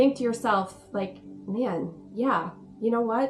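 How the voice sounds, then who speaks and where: At a moderate pace and with ordinary pitch variation, a woman speaks over noticeable background noise. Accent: Canadian. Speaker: spiritual guide and video host. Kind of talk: casual talk-to-camera explainer.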